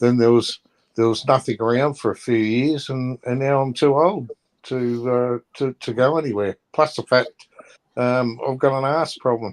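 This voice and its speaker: A man at medium pitch and moderate pace, fairly even in intonation, with a dry, close sound and no echo. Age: 60s. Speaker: show participant. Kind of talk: casual chat. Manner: halting.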